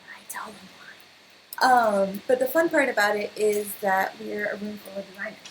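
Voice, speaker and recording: A woman speaks at medium pitch with ordinary pitch variation and big swings in loudness. Noticeable background noise is present. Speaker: design meetup organizer. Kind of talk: casual presentation to a group. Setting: meeting room with live audience. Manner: fast; animated.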